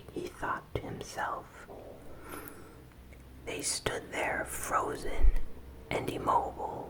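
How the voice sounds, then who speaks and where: With noticeable background noise in the clip, the whisper unfolds very slowly. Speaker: ASMR content creator. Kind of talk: ASMR horror story reading. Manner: whispered, soft-spoken.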